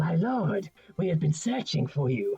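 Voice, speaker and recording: Over faint music in the background, a man uses a raspy, put-on character voice, high in pitch with very wide pitch swings, at a moderate pace. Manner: deferential.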